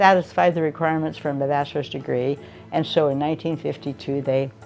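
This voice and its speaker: A woman with an American accent speaks at a very fast pace, her pitch very deep and low with ordinary variation. Music plays in the background. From Oregon, USA. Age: 80s+. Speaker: retired teacher. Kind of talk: interview answer.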